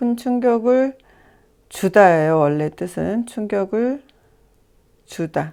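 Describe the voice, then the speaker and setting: A soft-spoken woman with a dark, mellow tone and lively intonation, on a very clean recording with a silent background. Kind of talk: tutorial. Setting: home recording.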